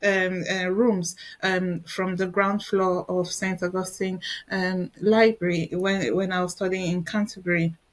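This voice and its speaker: With a Nigerian accent, a woman speaks at a fairly slow pace. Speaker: educator and researcher. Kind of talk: interview conversation. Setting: podcast interview. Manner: halting.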